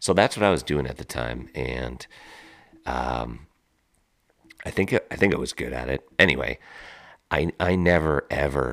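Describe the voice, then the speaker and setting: This is a man speaking. His voice has vocal fry. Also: very clean recording, silent background. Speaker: podcast host. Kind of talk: casual storytelling monologue. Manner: casual, with filler words.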